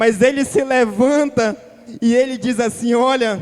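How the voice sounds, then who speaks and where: A man speaks at a very slow pace with an extremely high pitch and ordinary pitch variation, music playing in the background. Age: young. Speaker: preacher. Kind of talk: sermon. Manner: animated.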